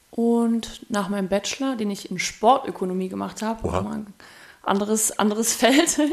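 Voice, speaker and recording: At a moderate pace, a woman with a plain, everyday voice speaks at a fairly high pitch with ordinary pitch variation. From Thuringia, Germany (Erfurt). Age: 30s. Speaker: DJ and musician. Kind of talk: casual chat.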